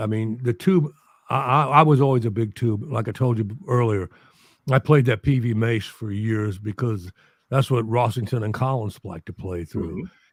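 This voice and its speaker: A man with an American accent speaks in an ordinary speaking voice at medium pitch and a moderate pace, with ordinary pitch variation, in a very clean recording with a silent background. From US Midwest, St. Louis. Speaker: musician and documentary channel creator. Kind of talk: casual chat.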